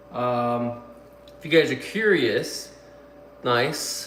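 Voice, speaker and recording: Over noticeable background noise and audible room echo, a man with a medium pitch speaks at a very slow pace. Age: 30s. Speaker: YouTuber and potter. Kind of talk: live stream chat. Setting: live stream. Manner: casual, filler-heavy.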